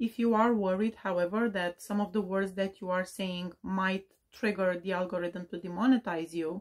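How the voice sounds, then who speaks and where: In a very clean recording with a silent background, a woman with a non-native accent speaks at a moderate pace in a medium pitch with fairly even intonation. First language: not English. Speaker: true crime YouTuber giving advice. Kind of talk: Q&A advice talk.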